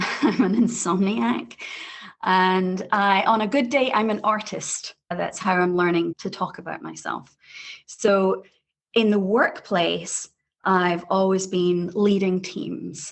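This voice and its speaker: A woman's medium-pitched voice at a very slow pace with ordinary pitch variation. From Scotland. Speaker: tech sales leader and leadership coach. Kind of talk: podcast interview.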